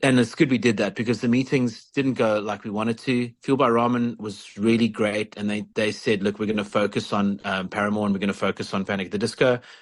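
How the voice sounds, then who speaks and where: Against a quiet background, a man with a fairly low pitch talks at a very fast pace with fairly even intonation and hardly any pauses. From South Africa. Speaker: rock singer. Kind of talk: casual chat.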